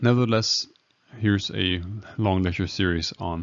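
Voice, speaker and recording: With a Danish accent, a man speaks in a very deep, low pitch with ordinary pitch variation. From Denmark. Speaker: emergency medicine doctor. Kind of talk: lecture. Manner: slow; halting, many fillers.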